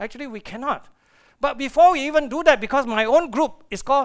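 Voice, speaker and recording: This man speaks at a fairly quick pace with an animated tone. His pitch varies in an ordinary way. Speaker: astrophysicist. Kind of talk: conference lecture. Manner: fast.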